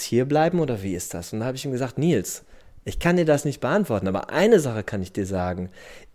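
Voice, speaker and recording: A man talks with very wide pitch swings, recorded very cleanly against a silent background. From Germany, Dortmund (Ruhr area). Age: 40s. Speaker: surfer who emigrated. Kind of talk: interview.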